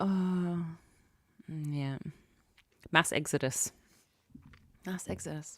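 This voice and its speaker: This woman has a very deep, low pitch and ordinary pitch variation. She talks at a very slow pace with long, frequent pauses. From Australia. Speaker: livestreamer. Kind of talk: casual chat with live chat viewers. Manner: loud.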